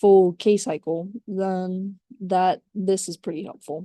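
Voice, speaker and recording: Her voice has a dark, mellow tone, and this woman uses ordinary pitch variation. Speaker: student. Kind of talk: tutorial. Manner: animated.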